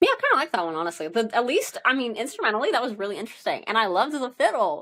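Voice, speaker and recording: A woman speaks at a very fast pace with a high pitch. Her voice makes very wide pitch swings. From US South, Tennessee. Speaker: music podcast co-host. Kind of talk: casual chat.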